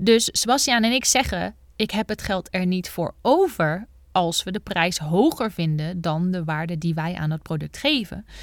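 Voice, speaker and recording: The recording is very clean, with nothing heard in the silent background. In a medium pitch with ordinary variation, a woman speaks at a moderate pace. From Netherlands, North Brabant (Bergen op Zoom). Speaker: business coach and podcast host. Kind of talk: solo podcast monologue. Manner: animated.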